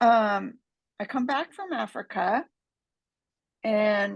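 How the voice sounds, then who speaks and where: Vocal fry colors a woman's medium-pitched voice against a quiet background. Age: 70s. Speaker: life coach for mothers. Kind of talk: podcast interview. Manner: animated.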